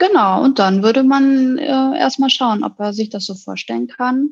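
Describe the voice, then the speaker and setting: The speaker moves at a fairly slow pace, with lively intonation. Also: woman. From Hamburg, northern Germany. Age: 30s. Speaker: psychologist. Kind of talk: interview.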